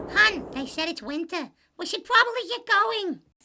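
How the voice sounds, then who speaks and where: A squeaky, cartoonish character voice, female-sounding and extremely high in pitch, runs at a moderate pace. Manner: sassy, affectionate.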